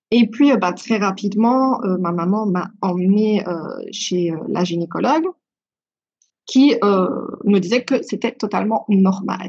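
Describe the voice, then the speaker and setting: Somewhat breathy, the voice moves at a very slow pace with ordinary pitch variation. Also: woman. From Belgium. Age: 20s. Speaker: beauty and wellness consultant, endometriosis patient. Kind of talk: podcast interview, personal testimony. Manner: hesitant, many filler words.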